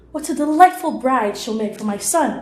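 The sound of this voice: In a put-on character voice, a woman speaks with a croaky, high pitch at a moderate pace.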